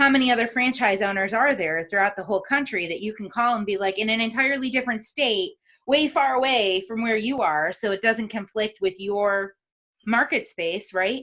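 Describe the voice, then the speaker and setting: A woman with an American accent, fairly high pitch, a bright, sharp tone, ordinary pitch variation and a fairly quick pace. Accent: upstate New York accent, noticed by others. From upstate New York. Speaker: podcast host. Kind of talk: interview conversation.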